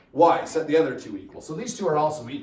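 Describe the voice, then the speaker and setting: Audible room echo and noticeable background noise surround the voice of a man. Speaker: high school math teacher. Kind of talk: classroom lecture. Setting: classroom with students.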